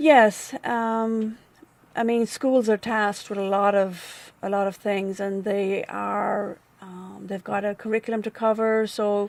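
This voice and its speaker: A woman with an Irish accent, medium in pitch, with fairly even intonation and a fairly slow pace. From Ireland. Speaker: nonprofit staff member and former volunteer. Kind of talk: interview. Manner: halting.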